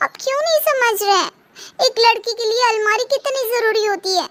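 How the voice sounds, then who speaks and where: Using a cartoonish character voice, a woman speaks at a moderate pace with an extremely high pitch and ordinary pitch variation. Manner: stubborn, repetitive refusals.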